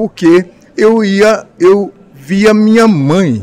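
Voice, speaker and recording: Here a man with a high pitch talks at a very slow pace. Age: 70s. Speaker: spiritist speaker and medium. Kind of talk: interview. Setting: radio studio.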